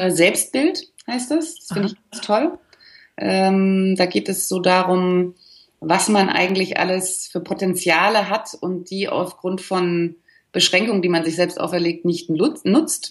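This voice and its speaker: Over a quiet background, a woman speaks at a very slow pace and medium pitch, with ordinary pitch variation and big swings in loudness. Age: 40s. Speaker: life coach. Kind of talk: interview.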